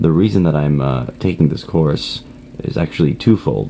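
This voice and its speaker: A man speaks quietly at a moderate pace with a very deep, low pitch. Noticeable background noise runs underneath. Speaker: online course student. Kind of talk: self-introduction monologue. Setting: at a friend's house. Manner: quiet, low volume; hesitant, many fillers.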